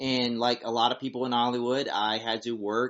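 At a moderate pace, a man with an American accent talks at a medium pitch. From South Carolina, US South. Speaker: former adult film actor turned preacher. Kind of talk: testimony.

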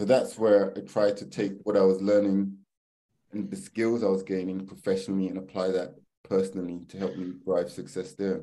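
A man's dark, mellow, fairly low voice with fairly even intonation and big swings in loudness. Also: moderate pace. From northwest London. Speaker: property investor and banker. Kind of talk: casual interview chat.

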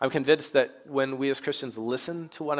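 On a very clean recording with a silent background, a man with an unremarkable speaking voice speaks at a fairly high pitch with fairly even intonation. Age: 30s. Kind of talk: sermon.

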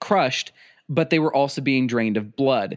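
An ordinary speaking voice from a man with an American accent, medium-pitched with ordinary pitch variation, on a very clean recording with a silent background. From US Midwest (South Dakota). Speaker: podcast host. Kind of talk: storytelling; casual chat.

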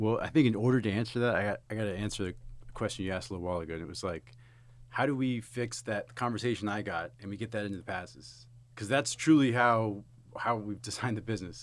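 A man with an American accent speaks at a very fast pace with a fairly low pitch and ordinary pitch variation. The recording is very clean, with a silent background. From South Texas. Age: 30s. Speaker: army veteran, recruiting executive. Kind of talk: casual chat.

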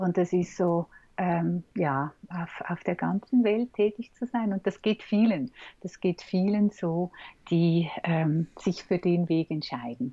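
A woman's fairly low pitch with ordinary pitch variation at a very slow pace. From Switzerland. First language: Swiss German (speaking German). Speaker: communication trainer and coach. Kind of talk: interview conversation. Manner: hesitant, many fillers.

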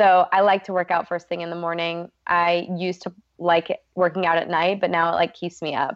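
Her voice is fairly low and flat, a monotone woman's voice. She keeps a fairly quick pace with hardly any pauses. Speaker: nutritionist. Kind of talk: interview.

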